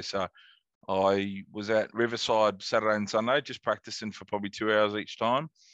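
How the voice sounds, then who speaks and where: In a quiet background, a man talks at a moderate pace and a fairly low pitch. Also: dry, close sound with no echo. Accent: Australian. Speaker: golf podcast host. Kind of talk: casual chat.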